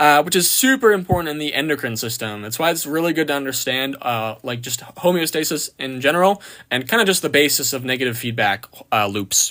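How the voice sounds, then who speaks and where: At a fairly quick pace, a man talks with lively intonation and a fairly high pitch. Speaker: anatomy and physiology tutor. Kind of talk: live stream exam review. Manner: fast; casual, filler-heavy.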